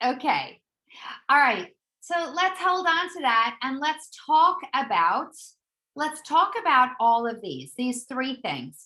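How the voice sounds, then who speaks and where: In a high, bright and sharp voice, a woman projects loudly at a very slow pace, her pitch swinging very widely. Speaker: corporate trainer leading a professional development session. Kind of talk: interactive online workshop presentation. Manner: hesitant, many fillers and restarts.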